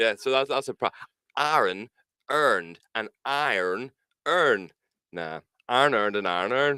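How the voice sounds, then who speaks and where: Speaking at a fairly slow pace with long, frequent pauses, a man in a strong Northern Irish accent has a bright, sharp tone and lively intonation, the sound dry and close with no echo. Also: medium pitch for a man. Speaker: podcast co-host. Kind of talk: casual chat. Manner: animated.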